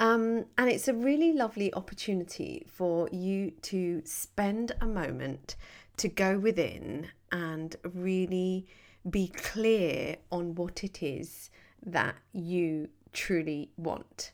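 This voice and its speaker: A woman with a warm tone, a medium pitch and ordinary pitch variation, at a very slow pace, in a very clean recording with a silent background. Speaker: meditation guide and coach. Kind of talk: guided meditation. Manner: soothing, slow and gentle; warm and inviting.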